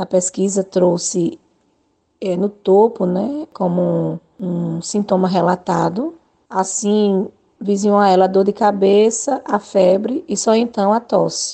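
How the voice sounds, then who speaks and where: Speaking very slowly, a woman uses a medium pitch, ordinary pitch variation and a dark, mellow tone. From Alagoas, Brazil (Arapiraca). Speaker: nursing professor. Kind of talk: radio interview. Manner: halting, many fillers.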